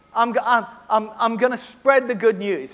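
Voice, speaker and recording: A man speaks in an Australian accent at an extremely high pitch. Noticeable background noise is present. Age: 70s. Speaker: preacher. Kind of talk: sermon. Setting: church.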